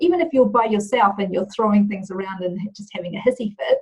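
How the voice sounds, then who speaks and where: Speaking with a New Zealand accent, a woman makes very wide pitch swings. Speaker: leadership and culture trainer. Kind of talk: interview. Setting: video call.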